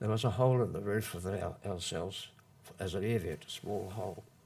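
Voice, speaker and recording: The speaker has a New Zealand accent. The pace is moderate and the intonation fairly even. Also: man. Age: 70s. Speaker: former long-term prisoner. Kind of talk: public talk. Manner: halting.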